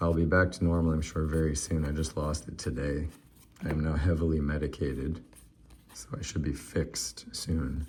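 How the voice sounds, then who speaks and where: With a very deep, low voice, a man speaks at a moderate pace, somewhat breathy, with fairly even intonation. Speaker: sports card collector and video host. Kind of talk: casual card-opening commentary.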